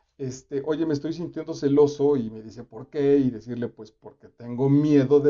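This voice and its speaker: In a Mexican accent, a man talks at a fairly high pitch. His pitch varies in an ordinary way. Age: 50s. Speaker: actor and reading host. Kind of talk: reading commentary livestream. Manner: casual, animated.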